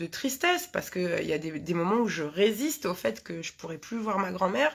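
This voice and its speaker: A woman speaks with lively intonation. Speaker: hypnotherapist. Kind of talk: live talk to viewers. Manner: fast; halting, many fillers.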